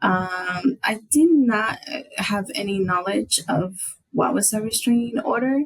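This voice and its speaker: A woman's fairly high, somewhat breathy voice at a very slow pace, with lively intonation and hardly any pauses. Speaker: domestic violence survivor. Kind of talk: testimony. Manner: halting, many fillers.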